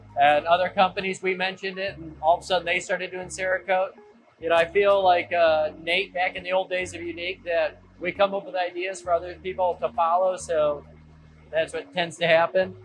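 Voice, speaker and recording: Loud and high-pitched, a man talks at a fairly quick pace. His intonation stays monotone and flat. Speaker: lighting company owner. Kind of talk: factory tour explanation. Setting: factory machine room.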